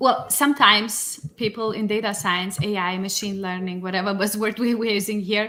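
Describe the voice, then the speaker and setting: Speaking with a Lithuanian accent, a woman keeps a medium pitch and fairly even intonation at a moderate pace with hardly any pauses, amid noticeable background noise. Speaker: data science executive. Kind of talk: podcast interview.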